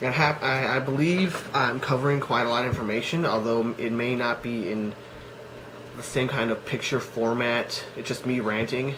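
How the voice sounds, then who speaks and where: Audible room echo surrounds a man talking at a moderate pace. His medium pitch moves with fairly even intonation. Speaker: cosplay vlogger. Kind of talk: casual vlog monologue. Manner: halting, many fillers.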